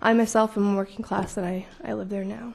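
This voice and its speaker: Somewhat breathy, the woman's voice carries a dark, mellow tone. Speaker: community activist speaking at public comment. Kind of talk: public comment at town council meeting. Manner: fast.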